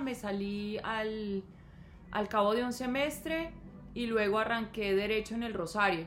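A woman's fairly high, fairly slow delivery with ordinary pitch variation, in an ordinary speaking voice. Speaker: podcast co-host, mother of co-host. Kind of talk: casual chat.

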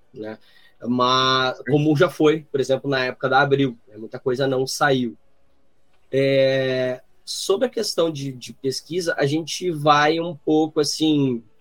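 This man's voice sits fairly high and his intonation stays fairly even. He talks at a very slow pace, and his loudness swings widely. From southern Brazil (Rio Grande do Sul). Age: 30s. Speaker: journalist and podcaster. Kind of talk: casual chat. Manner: halting, many fillers.

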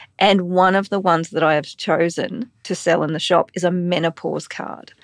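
A woman with an Australian accent at a moderate pace, quiet background behind her. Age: 40s. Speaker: podcast host and empathy educator. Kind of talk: casual interview chat. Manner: warm, upbeat.

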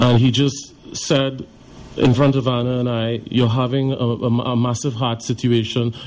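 A man speaks while noticeable background noise is heard. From Trinidad and Tobago. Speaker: heart attack survivor. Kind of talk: testimony.

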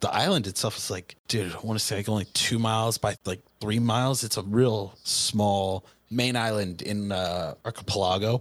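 With a plain, everyday voice, a man speaks at a fairly low pitch, moderate pace and fairly even intonation, with hardly any pauses, on a very clean recording with a silent background. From Southern California. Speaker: Navy veteran. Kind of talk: casual chat.

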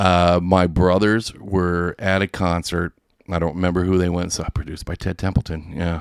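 A man's very deep, low voice at a moderate pace, the sound dry and close with no echo. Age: 40s. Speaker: online radio station runner. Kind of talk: casual chat. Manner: animated.

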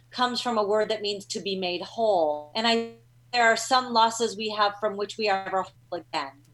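A woman speaks with a normal speaking voice. Her pitch is fairly high and her pace moderate. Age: 50s. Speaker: psychology professor and grief researcher. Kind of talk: interview on talk show. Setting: video call.

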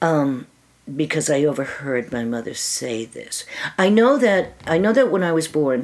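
A woman with very wide pitch swings over noticeable background noise. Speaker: interview guest sharing life story. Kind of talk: personal testimony in casual interview. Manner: halting, with fillers and restarts.

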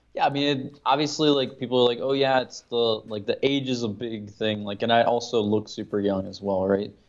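A man with an American accent talks at a fairly quick pace in a plain, everyday voice, with medium pitch and ordinary pitch variation. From Maryland, US. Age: 20s. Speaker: lifestyle coach and former club promoter. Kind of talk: casual interview.

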